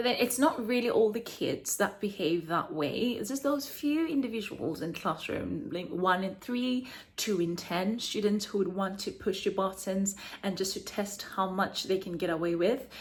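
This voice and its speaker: At a moderate pace and medium pitch, a woman sounds animated and somewhat breathy, with lively intonation. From South Africa. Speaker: teacher and vlogger. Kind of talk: casual vlog monologue. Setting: home apartment.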